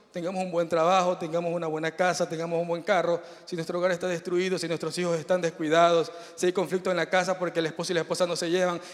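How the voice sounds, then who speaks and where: A man with a high pitch speaks at a very fast pace over noticeable background noise. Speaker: preacher. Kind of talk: sermon.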